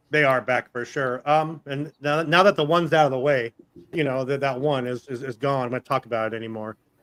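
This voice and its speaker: On a dry, close recording with no echo, a man speaks at a fairly quick pace in a fairly high pitch with fairly even intonation. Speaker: live stream show host. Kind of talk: casual chat. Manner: fast.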